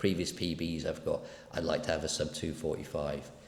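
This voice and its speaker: Somewhat breathy and very deep in pitch, a man talks at a fairly quick pace in a monotone, flat intonation, with audible room echo. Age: 60s. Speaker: running coach. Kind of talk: personal vlog monologue. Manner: casual, rambling.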